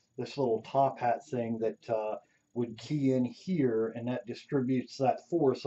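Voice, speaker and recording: In a Pennsylvania accent, a man speaks at a fairly slow pace. His intonation stays fairly even. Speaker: robot builder, hobbyist YouTuber. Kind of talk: tutorial teardown walkthrough. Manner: casual, hesitant with many fillers.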